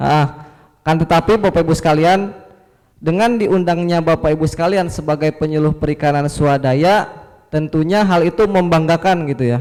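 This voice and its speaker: A man with a Sundanese accent speaks at a fairly high pitch. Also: ordinary pitch variation, moderate pace, very even loudness. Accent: Sundanese accent, audible. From West Java (Sukabumi, Sundanese). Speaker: fisheries extension officer, presenter. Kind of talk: workshop presentation.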